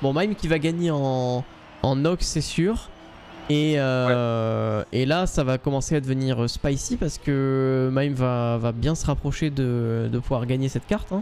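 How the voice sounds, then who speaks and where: Talking very slowly over light background noise, a man uses a medium pitch with ordinary pitch variation. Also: very even loudness. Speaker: gaming streamer and esports caster. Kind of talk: live esports commentary. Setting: live stream. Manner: animated. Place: home room.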